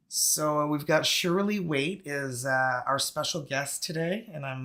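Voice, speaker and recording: A man's fairly high voice with a French-Canadian accent, bright and sharp in tone, at a moderate pace with ordinary pitch variation, on a very clean recording with a silent background. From Northern Ontario, Canada. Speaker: tarot channel host. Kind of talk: live interview. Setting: live video stream.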